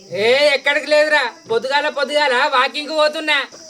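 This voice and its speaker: A put-on character voice speaks at a high pitch and moderate pace. The delivery is mumbled and monotone. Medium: comedy sketch. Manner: muddled, mumbling repetition.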